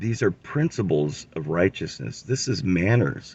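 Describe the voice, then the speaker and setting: A man's very deep, low voice carries vocal fry and swings very widely in pitch. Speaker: religious commentator. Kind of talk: scripture teaching.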